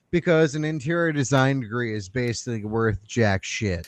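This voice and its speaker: A man with an American accent speaks in an unremarkable speaking voice at a medium pitch and moderate pace, with ordinary pitch variation and a quiet background. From Oklahoma. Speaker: podcast co-host. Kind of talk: casual chat.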